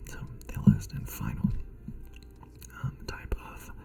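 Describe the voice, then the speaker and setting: A man whispers at a very slow pace. Noticeable background noise runs underneath. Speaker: ASMR creator. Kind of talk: ASMR tutorial talk. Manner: soft-spoken whisper.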